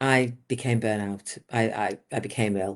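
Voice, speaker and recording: In an English accent, the voice shows ordinary pitch variation. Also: woman. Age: 60s. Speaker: business coach. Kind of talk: interview. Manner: animated.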